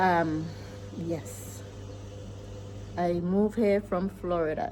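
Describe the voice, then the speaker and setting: A woman with a US Virgin Islands accent speaks very slowly at a fairly low pitch, with very wide pitch swings. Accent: Caribbean (US Virgin Islands). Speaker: vlogger, farmer and homeowner. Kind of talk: casual vlog talk.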